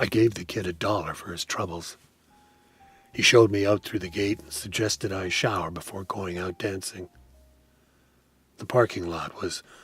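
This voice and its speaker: A man puts on a raspy character voice with a fairly low pitch. He speaks at a moderate pace. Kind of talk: radio play narration. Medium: audio drama.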